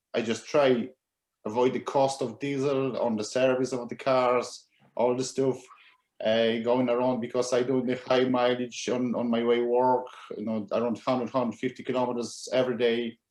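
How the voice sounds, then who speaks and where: A man speaks in a Polish accent at a moderate pace. His medium-pitched voice stays flat and monotone. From Poland. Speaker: used EV dealer. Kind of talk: panel discussion.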